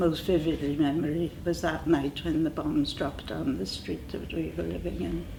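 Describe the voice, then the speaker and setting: A woman with a South Wales accent speaks at a moderate pace amid noticeable background noise and audible room echo. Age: 80s+. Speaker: war-time witness. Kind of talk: oral history interview. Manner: halting, many fillers.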